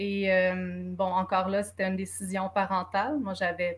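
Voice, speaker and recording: This woman's voice is somewhat breathy and medium in pitch, at a fairly slow pace. The recording is very clean, with a silent background. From Quebec, from Czechoslovakia at age four. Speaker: author. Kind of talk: panel discussion.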